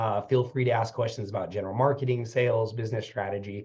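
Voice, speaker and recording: Somewhat breathy and dark, mellow in tone, a man rushes along at a very fast pace with fairly even intonation. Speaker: business consultant and webinar presenter. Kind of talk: webinar presentation.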